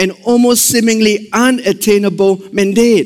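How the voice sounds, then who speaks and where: With an animated tone, a man talks in a Singaporean accent. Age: 40s. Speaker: missions pastor. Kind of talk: sermon. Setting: church service with congregation.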